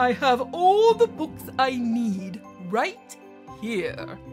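A woman puts on a high-pitched character voice with a grumpy, pompous tone. She speaks very slowly as clear music plays in the background. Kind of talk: picture book read-aloud. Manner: grumpy, pompous, increasingly loud.

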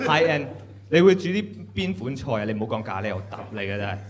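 A man talks at a fast pace with big pitch swings. There is faint background noise. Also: medium pitch for a man.

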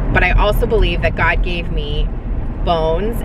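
A woman speaks over loud background noise. The sound is dry, with no echo. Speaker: vlogger. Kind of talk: casual vlog chat. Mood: chatty, laughing, candid. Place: car. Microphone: phone near.

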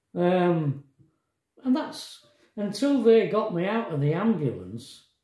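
Against a quiet background with audible room echo, a man speaks at a fairly slow pace in a dark, mellow tone. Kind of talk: casual vlog storytelling. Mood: reflective, emotional recounting. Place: kitchen. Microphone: phone near.

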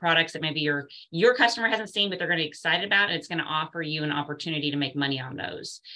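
A woman speaks in a very deep, low voice. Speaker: round table host. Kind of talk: livestream panel hosting talk. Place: home room. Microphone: video call.

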